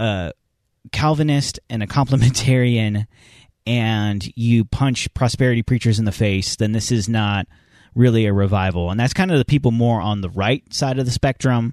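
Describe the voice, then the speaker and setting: A man's plain, everyday voice at a medium pitch and moderate pace, with ordinary pitch variation, a quiet background and a dry, close sound with no echo. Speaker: podcast host. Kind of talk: casual podcast chat. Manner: casual, conversational.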